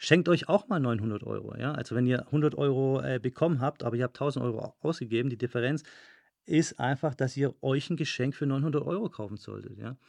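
Vocal fry marks a man's voice at a moderate pace. The sound is dry and close with no echo, over a quiet background. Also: medium pitch for a man, ordinary pitch variation. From Germany, Stuttgart (Swabia). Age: 30s. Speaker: podcast host, fitness studio owner and business coach. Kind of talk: solo podcast monologue, business advice. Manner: casual with frequent filler sounds.

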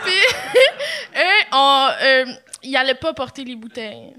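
A raised, projected voice with a bright, sharp tone, a fairly slow pace and ordinary pitch variation. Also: woman. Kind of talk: casual chat. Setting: stage with audience.

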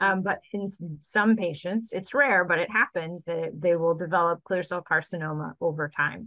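A woman's ordinary speaking voice, fairly low in pitch with ordinary pitch variation, at a moderate pace with hardly any pauses. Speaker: gynecologic oncologist. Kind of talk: interview answers explaining medical topics.

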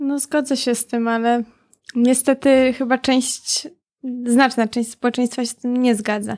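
Heard with a dry, close sound with no echo, a woman with a high pitch speaks at a fairly slow pace. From Poland, mid-sized town. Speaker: podcast host. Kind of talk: casual interview. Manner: halting, repeats words.

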